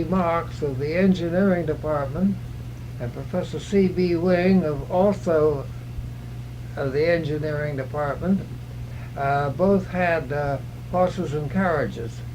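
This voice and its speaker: A man with an American accent talks at a fairly slow pace amid audible room echo. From California, US. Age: 90s. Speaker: oral history interviewee. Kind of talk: oral history interview. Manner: halting, many hesitations.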